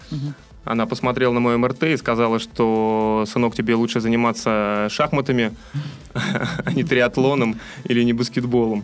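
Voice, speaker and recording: Noticeable background noise sits behind a man at a medium pitch. He speaks at a moderate pace with fairly even intonation. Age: 20s. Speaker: podcast host and amateur athlete. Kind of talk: interview.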